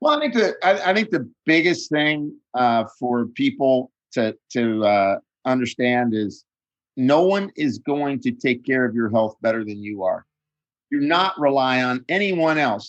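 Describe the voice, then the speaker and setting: Lively intonation marks a man's medium-pitched delivery, a plain, everyday voice moving at a fairly slow pace. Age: 60s. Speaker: nutritionist and author. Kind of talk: interview.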